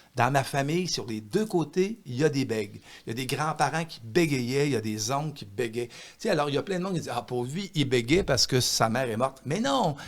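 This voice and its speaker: A man with a Quebec accent, fairly high in pitch, at a moderate pace with lively intonation, on a very clean recording with a silent background. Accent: Québécois French. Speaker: author. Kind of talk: podcast interview. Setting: studio with microphone. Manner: slight stutter, rarely noticeable.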